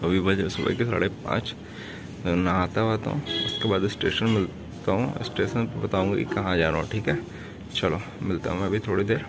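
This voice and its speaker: A man talks at a moderate speed with ordinary pitch variation while music plays in the background. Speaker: travel vlogger. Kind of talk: casual vlog chat. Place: home room. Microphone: phone near.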